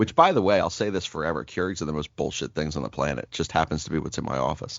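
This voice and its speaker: A man's very deep, low voice with vocal fry and ordinary pitch variation, at a very fast pace. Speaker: sports podcast co-host. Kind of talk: casual chat. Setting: home office. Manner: halting.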